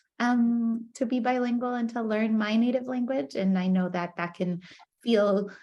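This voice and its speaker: A somewhat breathy woman's voice at a moderate pace, with ordinary pitch variation. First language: Spanish. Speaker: professor. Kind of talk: lecture. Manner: hesitant, many fillers.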